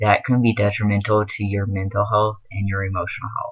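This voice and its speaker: The man's voice sits at a fairly low pitch and sounds somewhat breathy. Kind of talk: casual advice vlog. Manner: filler-heavy, hesitant.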